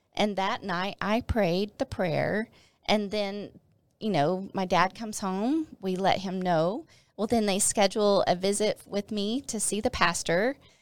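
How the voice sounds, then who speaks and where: A woman with an unremarkable speaking voice and medium pitch speaks at a fairly slow pace on a very clean recording with a silent background. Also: ordinary pitch variation. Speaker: former pastor's wife sharing her testimony. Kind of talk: testimony. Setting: studio.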